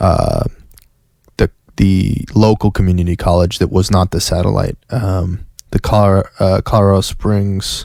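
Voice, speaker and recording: On a very clean recording with a silent background and a dry, close sound with no echo, a man with an American accent speaks at a fairly slow pace in a dark, mellow tone with fairly low pitch. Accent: Southern US accent, comes out at times. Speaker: podcast host. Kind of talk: casual monologue. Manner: halting, many restarts and fillers.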